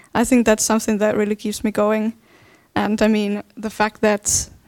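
With a Finnish accent, a woman speaks at a fairly high pitch and moderate pace, in a dry, close sound with no echo. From Finland. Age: 20s. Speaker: dance artist. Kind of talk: panel discussion. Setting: stage with live audience.

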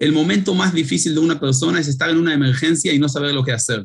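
A man with a fairly high voice talks at a fairly quick pace, sounding somewhat breathy. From Israel. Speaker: paramedic and startup founder. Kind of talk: interview.

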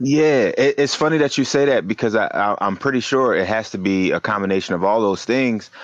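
In a plain, everyday voice, a man with an American accent and medium pitch speaks at a fairly quick pace with lively intonation, very even loudness and hardly any pauses against a quiet background. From West Philadelphia, US. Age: 30s. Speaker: surfer. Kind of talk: casual chat.

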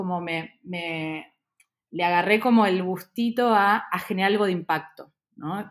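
An Argentine accent with ordinary pitch variation, on a very clean recording with a silent background. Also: woman. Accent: Rioplatense Argentine Spanish. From Argentina, raised in Buenos Aires. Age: 30s. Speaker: startup founder and CEO. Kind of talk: interview. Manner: hesitant, many fillers.

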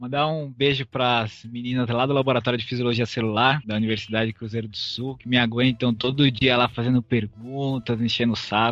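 Here a man talks at a fairly quick pace and medium pitch in a monotone, flat delivery. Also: hardly any pauses. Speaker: master's student in physiology. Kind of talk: podcast explanation.

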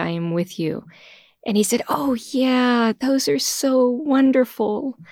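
A woman with an American accent speaks very slowly, her intonation lively. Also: very clean recording, silent background. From Texas, near Houston. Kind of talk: casual chat about faith.

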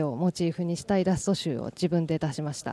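Here a woman speaks in a fairly low pitch with a dark, mellow tone. The sound is dry and close with no echo, on a very clean recording with a silent background. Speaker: illustrator. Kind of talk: interview.

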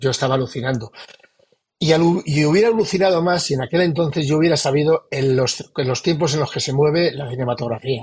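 A man's very fast speech, fairly high in pitch, with ordinary pitch variation. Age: 60s. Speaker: novelist. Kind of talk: interview. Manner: halting.

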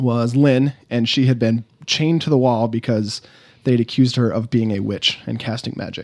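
A man speaks at a moderate pace in an ordinary speaking voice, medium in pitch, with fairly even intonation. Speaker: roleplaying game player. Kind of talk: tabletop roleplaying actual play, casual chat.

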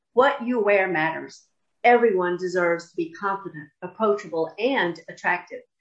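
Her pitch is medium for a woman and varies in an ordinary way, in a plain, everyday voice. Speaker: podcast host. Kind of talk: interview, friendly chat.

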